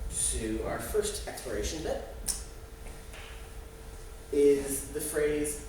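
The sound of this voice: Very slow pace with audible room echo. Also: man, fairly high pitch for a man, lively intonation.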